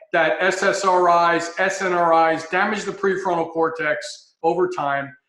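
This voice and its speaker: A man talks at a fairly slow pace in a high pitch, with hardly any pauses. His intonation is monotone and flat, and room echo is audible. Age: 60s. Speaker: health consultant, former paramedic. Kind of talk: interview talk.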